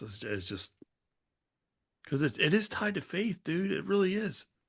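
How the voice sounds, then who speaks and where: In a quiet setting, a man speaks at a moderate pace in a somewhat breathy voice. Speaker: podcast co-host. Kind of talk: casual chat. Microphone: new mic setup with stand.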